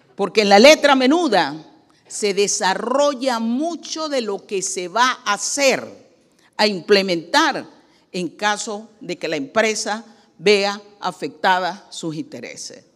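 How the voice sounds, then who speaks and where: At a very slow pace, a woman's medium-pitched voice makes very wide pitch swings. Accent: Panamanian. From Panama. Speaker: economist and presidential candidate. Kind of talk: public hearing testimony. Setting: legislative committee hearing. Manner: formal.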